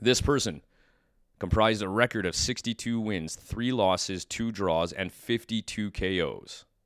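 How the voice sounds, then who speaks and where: A man with an ordinary speaking voice talks fairly slowly at a fairly low pitch with ordinary pitch variation, in a dry, close sound with no echo on a very clean recording with a silent background. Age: 40s. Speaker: podcast host and fight commentator. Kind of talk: casual chat. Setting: studio.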